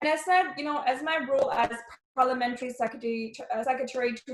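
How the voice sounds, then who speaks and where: A woman speaks very fast in a high voice, her pitch moving in an ordinary way. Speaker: member of parliament. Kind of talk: speech to youth program. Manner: animated.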